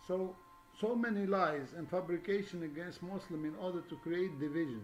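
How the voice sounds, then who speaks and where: With audible room echo, a man talks at a moderate pace, his high pitch showing ordinary variation. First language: not English. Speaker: religious video lecturer. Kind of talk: monologue lecture. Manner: halting, many fillers.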